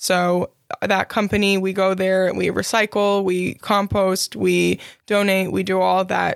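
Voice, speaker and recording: A woman speaks fairly slowly at medium pitch in a monotone, flat intonation with very even loudness. The sound is dry and close with no echo, on a very clean recording with a silent background. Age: 20s. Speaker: freelancer and podcast host. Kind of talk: casual solo podcast monologue.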